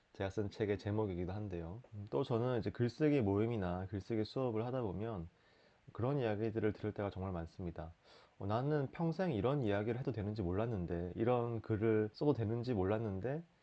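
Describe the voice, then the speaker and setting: Speaking fairly quickly with a slight Busan accent, a man with a fairly low pitch shows ordinary pitch variation. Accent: slight Busan dialect under Seoul speech. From Busan, South Korea. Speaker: writer, lawyer and culture critic. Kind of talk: casual talk to camera.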